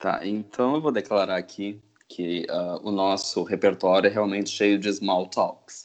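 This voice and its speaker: The speaker has a normal speaking voice. The pace is fairly slow and the intonation fairly even. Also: man, fairly low pitch for a man. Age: 20s. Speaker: podcast co-host, linguistics PhD student. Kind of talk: casual chat.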